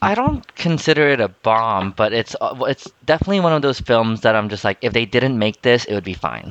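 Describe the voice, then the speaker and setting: With a plain, everyday voice, a man talks at a fairly quick pace and medium pitch with lively intonation and hardly any pauses, the sound dry and close with no echo and the background quiet. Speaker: podcast co-host. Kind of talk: casual chat.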